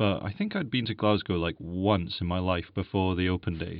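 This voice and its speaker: Speaking at a moderate pace, this man has a very deep, low pitch. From Scotland, Edinburgh. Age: 30s. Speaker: publishing sales worker and radio producer. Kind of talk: interview. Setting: studio. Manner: halting.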